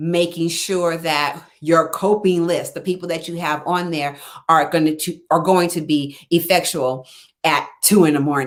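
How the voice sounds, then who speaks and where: An ordinary speaking voice at a fairly slow pace, with fairly even intonation. The recording is very clean, with a silent background. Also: woman. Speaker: life coach. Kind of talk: live stream talk.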